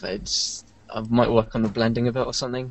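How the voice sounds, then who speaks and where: This is an ordinary speaking voice from a man at a medium pitch. He talks at a fairly quick pace. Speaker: website founder and 3D artist. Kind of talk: casual chat.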